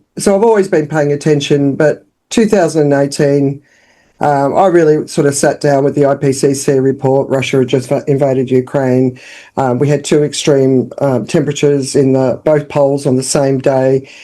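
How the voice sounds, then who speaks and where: Delivered at a moderate pace in an Australian accent, the voice has a dark, mellow tone, very even loudness and fairly even intonation. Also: woman, very deep, low pitch for a woman. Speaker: business founder and communications consultant. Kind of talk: podcast interview.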